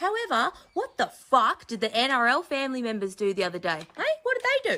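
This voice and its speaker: A woman with an Australian accent speaks fairly quickly in a raised, projected voice with very wide pitch swings. Noticeable background noise runs underneath. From Queensland, Australia. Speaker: social media video maker. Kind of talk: angry rant.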